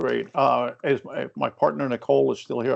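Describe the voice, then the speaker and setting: A man speaks with a Maine accent. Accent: Maine accent, noticeable. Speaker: workforce development consultant. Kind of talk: webinar presentation. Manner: hesitant, many fillers.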